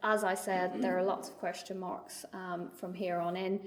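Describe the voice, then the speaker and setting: A woman with a Northern Irish accent speaks at a moderate pace and medium pitch, her intonation monotone and flat. Audible room echo and noticeable background noise surround her voice. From Northern Ireland. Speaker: trade mark attorney. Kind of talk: lecture. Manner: hesitant, many fillers and repetitions.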